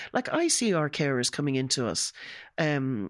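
Lively intonation at a moderate pace, in a Dublin accent. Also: woman. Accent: Irish (Dublin). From Ireland. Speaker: home care office manager. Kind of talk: podcast interview. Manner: animated.

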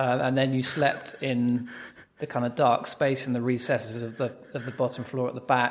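The speaker uses a British accent and a monotone, flat intonation. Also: man. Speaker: podcast host. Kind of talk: interview, conversational.

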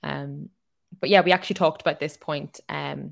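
A woman with an Irish accent speaks at a fairly quick pace, her pitch very deep and low, with vocal fry. The recording is very clean, with a silent background. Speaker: podcast host. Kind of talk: casual chat.

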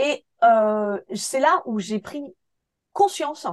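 Very wide pitch swings and an animated tone come through in a dry, close sound with no echo. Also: woman. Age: 40s. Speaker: photographer. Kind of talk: interview.

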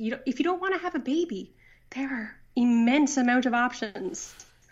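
The speaker has a Newfoundland accent, a moderate pace and ordinary pitch variation. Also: woman. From Newfoundland, Canada. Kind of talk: casual interview chat. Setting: phone call.

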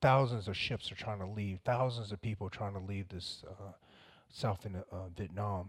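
In a very clean recording with a silent background, a man speaks at a moderate pace in a somewhat breathy, fairly low voice with fairly even intonation. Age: 40s. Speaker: former special forces soldier. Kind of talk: interview. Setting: studio.

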